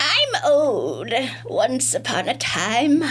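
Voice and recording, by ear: A female-sounding, put-on character voice over clear background noise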